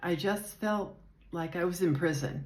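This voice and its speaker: There is audible room echo as a woman with an American accent speaks with lively intonation. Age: 70s. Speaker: retiree vlogger. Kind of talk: casual personal vlog. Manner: hesitant, unpolished.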